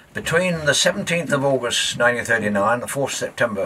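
Light background noise sits under a man speaking with a southern English accent. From southern England. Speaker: documentary presenter and local historian; presenter. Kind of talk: documentary narration. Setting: outdoors on a boat. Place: boat.

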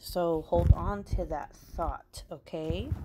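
Light background noise sits behind a woman whose pitch varies in an ordinary way. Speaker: crafting true crime narrator. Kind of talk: casual podcast-style storytelling. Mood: casual, joking.

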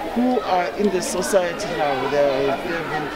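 Over crowd noise in the background, a woman talks at a moderate pace in a dry sound with no echo. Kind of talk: interview answer. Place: street. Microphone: handheld.

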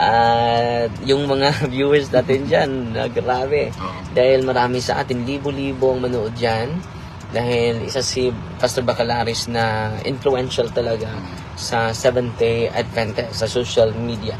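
Against noticeable background noise, a man speaks fairly slowly with fairly even intonation. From Philippines. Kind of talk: casual chat. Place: car. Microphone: phone near.

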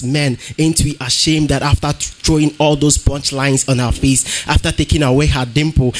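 With music in the background, a man speaks at a fairly quick pace and with fairly even intonation. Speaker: slam poet competitor. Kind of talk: slam poetry performance. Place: hall.

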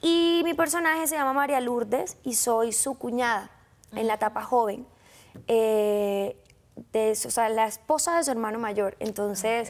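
Speaking at a fairly slow pace, a woman with a Colombian coastal accent uses lively intonation. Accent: Colombian coastal (costeño). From Colombian Caribbean coast, Sincelejo. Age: 20s. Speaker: actress. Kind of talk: interview. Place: studio. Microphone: lapel.

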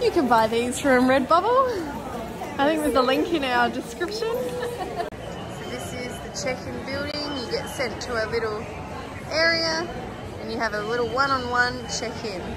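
A woman talks at a moderate pace in a high pitch with big pitch swings. Clear crowd noise and other clear background noise sit behind her.

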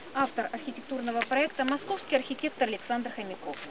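A woman speaks over noticeable background noise. The sound is dry, with no echo. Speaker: tour guide. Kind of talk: guided tour narration. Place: open country. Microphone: camera far.

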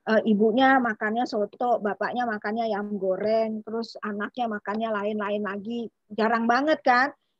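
An ordinary speaking voice at a moderate pace, dry with no echo, over a quiet background. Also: woman. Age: 40s. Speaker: doctor. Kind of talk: health talk. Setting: video call. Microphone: video call.

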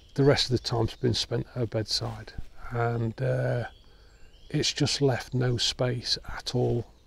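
In a dry sound with no echo, a man speaks in a somewhat breathy voice. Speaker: woodland photographer vlogger. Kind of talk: casual vlog chat. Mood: subdued, reflective, grieving. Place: forest.

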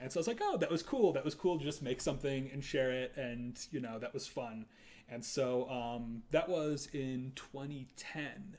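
An American accent marks this man's unremarkable speaking voice. He talks at a medium pitch and a moderate pace, with ordinary pitch variation. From US Midwest. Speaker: composer. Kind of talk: casual chat. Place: home room. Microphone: camera far.

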